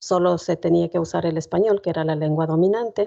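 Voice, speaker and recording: In an Ecuadorian accent, a woman speaks at a fairly low pitch with a dark, mellow tone. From northern Ecuador, Otavalo. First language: Kichwa (speaking Spanish). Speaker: poet. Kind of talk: guest talk at a seminar.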